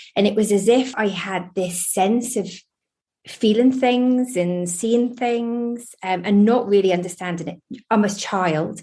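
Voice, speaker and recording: A woman speaks at a fairly slow pace with medium pitch and ordinary pitch variation. Her tone is dark and mellow, and somewhat breathy. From eastern England (Lowestoft, Suffolk). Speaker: spiritualist medium. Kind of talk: interview.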